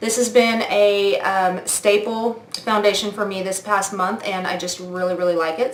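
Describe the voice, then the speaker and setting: A woman at medium pitch talks with hardly any pauses and fairly even intonation. Audible room echo and noticeable background noise surround her voice. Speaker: beauty vlogger. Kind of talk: product review vlog.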